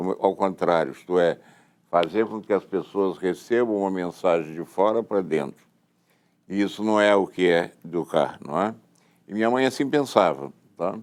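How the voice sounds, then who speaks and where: Over a quiet background, a man with a Carioca accent speaks at a moderate pace in a very deep, low pitch. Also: ordinary pitch variation. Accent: carioca Brazilian Portuguese. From Rio de Janeiro, Brazil. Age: 70s. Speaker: education foundation founder. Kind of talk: interview testimony.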